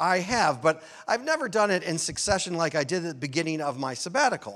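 The intonation is lively. The pace is very fast. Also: man. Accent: American. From US Midwest, Chicago area. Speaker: minister. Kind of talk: sermon.

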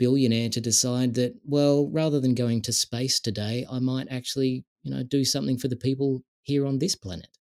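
In a very clean, dry and close recording with no echo and a silent background, a man with an Australian accent speaks in a dark, mellow tone with fairly even intonation. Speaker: tech industry veteran and digital rights advocate. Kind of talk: casual interview conversation.

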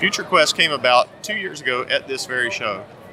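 With an American accent, the speaker goes at a moderate pace over noticeable background noise. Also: man. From US South, North Carolina. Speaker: comics writer and artist. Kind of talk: interview. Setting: comic convention.

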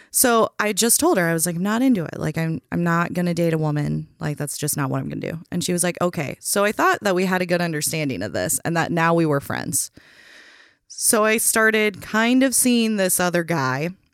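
With an American accent and an unremarkable speaking voice, a woman talks fairly quickly at a fairly low pitch, using lively intonation on a very clean recording with a silent background. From Minnesota. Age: 30s. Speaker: bartender and drag show organizer. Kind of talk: casual chat.

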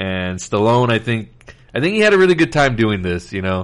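A man with a fairly low pitch talks at a fairly quick pace in a normal speaking voice. The background is quiet. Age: 30s. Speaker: podcast host. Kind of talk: casual chat.

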